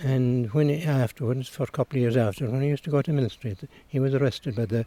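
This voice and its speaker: With a Cork accent, a man talks very fast in a dark, mellow tone at medium pitch, with ordinary pitch variation and a dry, close sound with no echo. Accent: Cork Irish. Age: 80s+. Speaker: retired teacher and local historian. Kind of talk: interview.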